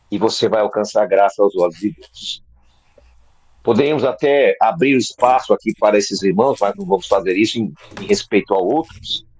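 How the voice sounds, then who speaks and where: Medium-pitched male speech at a moderate pace, with a dry, close sound and no echo. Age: 60s. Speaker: preacher. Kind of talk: sermon. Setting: video call.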